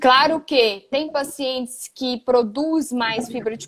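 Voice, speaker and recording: In a Goiás accent, a woman talks at a high pitch with ordinary pitch variation. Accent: Goiás accent with strong retroflex R. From Goiás, Brazil. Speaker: physiotherapist. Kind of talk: casual chat. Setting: live stream.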